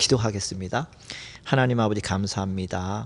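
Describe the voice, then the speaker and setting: The man's pitch is fairly low, with ordinary pitch variation. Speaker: former highway patrol officer, part-time seminary student. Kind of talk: testimony. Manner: halting, with many fillers.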